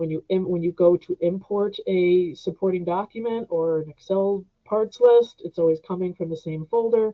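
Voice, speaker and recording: A woman with an unremarkable speaking voice talks at medium pitch and a moderate pace. She uses fairly even intonation and hardly any pauses. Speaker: software trainer. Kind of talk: webinar tutorial. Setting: online webinar.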